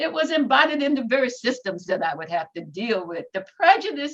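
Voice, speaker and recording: With an American accent, a woman speaks at a high pitch with very wide pitch swings. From Norfolk, Virginia, US South. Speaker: civil rights activist and minister. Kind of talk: interview. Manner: formal.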